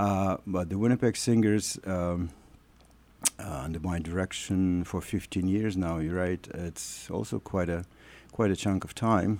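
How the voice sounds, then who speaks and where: Someone speaks at a fairly slow pace with a Russian accent and ordinary pitch variation. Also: man, very deep, low pitch for a man. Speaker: choir artistic director. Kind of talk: radio interview. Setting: studio. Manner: halting.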